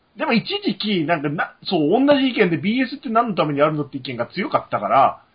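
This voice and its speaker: The speaker talks at a fairly quick pace with hardly any pauses. Their tone is animated, and the pitch swings very widely. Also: man, high pitch for a man. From Japan. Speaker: podcast co-host. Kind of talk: casual chat.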